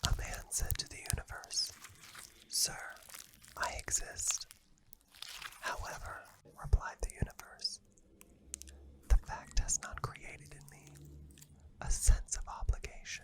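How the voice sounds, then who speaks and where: A man whispers at a fairly slow pace, with long, frequent pauses. His loudness swings widely over noticeable background noise. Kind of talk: poetry reading. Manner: calm.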